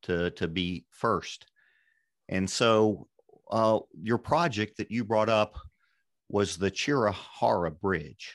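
A man with a fairly low voice and ordinary pitch variation, recorded dry and close with no echo against a quiet background. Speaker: podcast host and engineer. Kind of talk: podcast interview.

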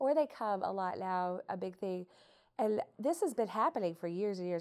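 At a moderate pace, someone speaks in an American accent with an unremarkable speaking voice. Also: woman. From southeast Missouri. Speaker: chamber of commerce president. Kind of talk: casual group conversation.

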